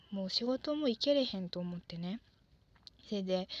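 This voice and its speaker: A relaxed tone with ordinary pitch variation, dry and close with no echo. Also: woman. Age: 20s. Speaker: podcaster, office worker. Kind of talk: solo monologue, casual. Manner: relaxed, halting with fillers.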